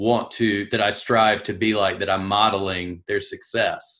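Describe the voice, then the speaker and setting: Against a quiet background, a man with a Southern US accent talks fairly slowly in a fairly low, monotone, flat voice with a bright, sharp tone. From US South; South Carolina. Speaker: podcast host. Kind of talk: casual interview.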